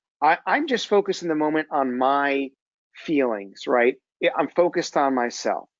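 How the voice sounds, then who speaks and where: With a slight New Jersey accent, a man speaks at a fairly high pitch and very even loudness. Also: ordinary pitch variation, moderate pace. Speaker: executive coach. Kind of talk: webinar presentation. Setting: webinar.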